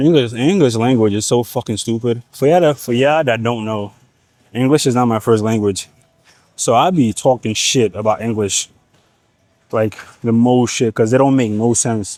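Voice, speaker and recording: Here a man talks at a medium pitch and a moderate pace. His pitch varies in an ordinary way. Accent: Nigerian. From Nigeria. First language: Igbo. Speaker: fitness vlogger. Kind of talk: casual gym vlog. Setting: gym. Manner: animated.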